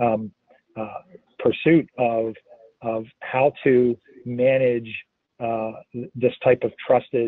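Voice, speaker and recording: Very slowly and with long, frequent pauses, a man with an American accent speaks at a medium pitch in a monotone, flat intonation. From North America (US). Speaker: blockchain business consultant. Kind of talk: webinar Q&A. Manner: halting, many fillers.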